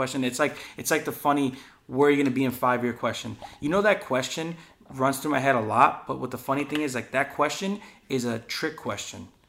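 A man's medium-pitched voice, with ordinary pitch variation, moves along at a fairly quick pace. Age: 20s. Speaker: podcast host and skate filmer. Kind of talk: casual chat. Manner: animated.

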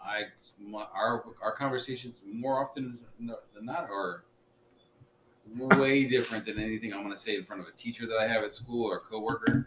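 Amid noticeable background noise, a man of medium pitch talks at a moderate pace with ordinary pitch variation and long, frequent pauses. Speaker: podcast co-host. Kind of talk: casual chat. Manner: serious, formal, careful word choice.

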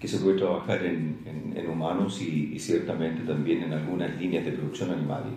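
Room echo can be clearly heard around the man who is talking. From Chile, Santiago. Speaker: veterinarian and lab company director. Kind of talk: interview. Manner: hesitant, filler-heavy.

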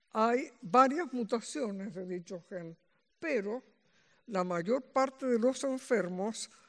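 The speaker is a woman. Her voice sits at a fairly high pitch. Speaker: medical geneticist. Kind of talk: lecture.

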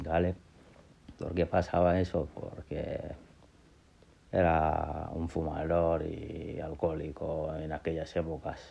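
A man speaks in a very deep, low pitch with monotone, flat intonation. His pace is very slow, with long, frequent pauses. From Gambia and Senegal. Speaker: podcaster telling life story. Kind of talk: personal testimony. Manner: halting.

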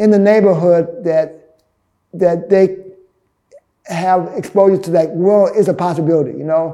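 This man has a high voice and a fairly slow delivery. His intonation is fairly even. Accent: American. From US South, Birmingham, Alabama. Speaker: artist and gallery owner. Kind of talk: interview. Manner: halting, many fillers and restarts.

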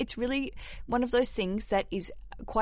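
A woman with an Australian accent speaks against a quiet background. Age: 30s. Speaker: podcast host. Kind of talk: casual chat; scripted narration. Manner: animated.

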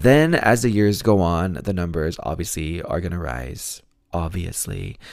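A raspy man with a very deep, low voice talks at a fairly slow pace with lively intonation. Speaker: true crime podcast host. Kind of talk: casual listener Q&A chat. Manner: laughs often, self-deprecating.

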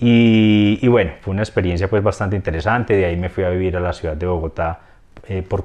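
In an Antioquian accent, a man with a very deep, low pitch speaks very fast with ordinary pitch variation against a quiet background. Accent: Colombian paisa (Antioquia). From Colombia, Antioquia (Rionegro). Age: 40s. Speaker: business consultant. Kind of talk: interview. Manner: hesitant, many fillers.

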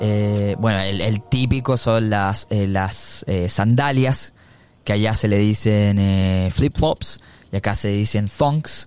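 At a very slow pace, a man talks with fairly low pitch and fairly even intonation. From Chile. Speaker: podcast host. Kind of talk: casual chat. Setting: video call.

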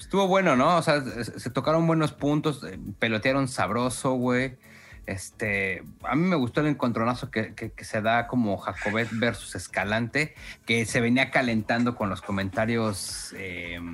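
Music plays behind a man with a Mexican accent. His intonation is lively and his pace fairly slow. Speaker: podcast co-host. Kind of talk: casual chat.

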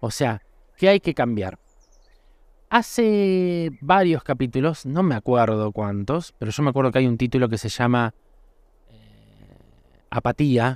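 A man with a Rioplatense accent speaks with lively intonation and long, frequent pauses in a very clean recording with a silent background. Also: medium pitch for a man, fairly slow pace, dry, close sound with no echo. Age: 40s. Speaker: podcast host. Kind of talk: reflective solo monologue. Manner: halting, with frequent repetitions; casual, conversational.

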